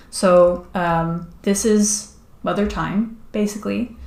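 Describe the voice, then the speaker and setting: Audible room echo around a woman's dark, mellow voice, medium in pitch, with fairly even intonation. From Netherlands. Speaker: streamer and comic artist. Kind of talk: casual live stream chat. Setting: live stream while drawing. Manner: halting, many fillers.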